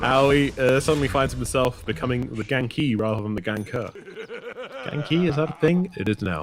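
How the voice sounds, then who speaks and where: A man with a British accent, medium pitch, lively intonation and a moderate pace, with music in the background. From Britain. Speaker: esports caster. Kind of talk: live commentary. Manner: animated.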